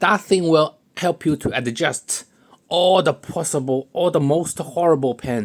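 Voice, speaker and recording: The speech comes at a fairly slow pace, with a non-native accent. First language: not English. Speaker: pen hobbyist video maker. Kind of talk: tutorial. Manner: halting, repeats words; casual, joking.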